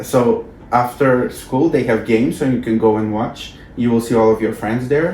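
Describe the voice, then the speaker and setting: A man with a non-native accent talks at a medium pitch and a moderate pace. His pitch varies in an ordinary way over noticeable background noise. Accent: foreign. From North Macedonia. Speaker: former exchange student, alumni coordinator. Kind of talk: interview. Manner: halting.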